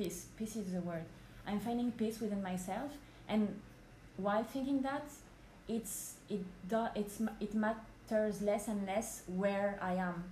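Speaking with a French accent, a woman talks at a fairly slow pace and a medium pitch with fairly even intonation. She takes long, frequent pauses, and audible room echo fills the recording. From France, Paris. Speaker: podcast guest. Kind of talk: casual chat.

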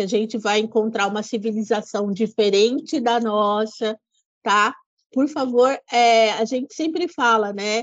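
Her intonation fairly even, a woman talks at a very slow pace with a fairly high pitch. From São Paulo, Brazil. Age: 50s. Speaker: tourism official and historian. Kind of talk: podcast interview.

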